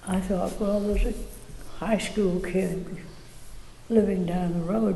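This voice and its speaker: Noticeable background noise behind a woman's medium-pitched voice with an American accent. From Virginia, USA. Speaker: architect and builder. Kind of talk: interview answer.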